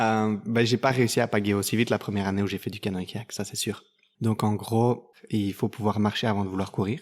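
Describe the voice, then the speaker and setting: A man with a fairly low pitch talks at a fairly quick pace in a monotone, flat intonation, captured on a very clean recording with a silent background. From Belgium, Dinant area. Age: 30s. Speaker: kayak athlete. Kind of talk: interview. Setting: kayak club.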